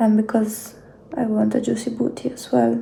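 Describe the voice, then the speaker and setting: This woman has a non-native accent and a fairly high pitch. She talks at a moderate pace with fairly even intonation. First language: not English. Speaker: beauty vlogger. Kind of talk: casual vlog talk to camera.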